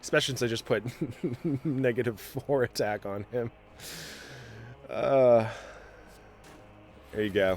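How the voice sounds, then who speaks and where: Using a medium pitch and fairly even intonation, a man talks at a fairly slow pace with long, frequent pauses. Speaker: gaming video creator. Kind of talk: gameplay commentary.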